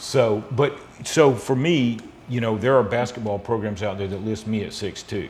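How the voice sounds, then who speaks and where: With an American accent, this man speaks at a medium pitch with ordinary pitch variation, and audible room echo surrounds his voice. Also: moderate pace. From US South, South Georgia. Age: 50s. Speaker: spine surgeon. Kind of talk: interview, explaining medical topics.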